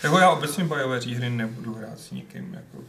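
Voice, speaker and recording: A man with a medium pitch talks at a moderate pace, with noticeable background noise behind him. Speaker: podcast co-host. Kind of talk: casual chat.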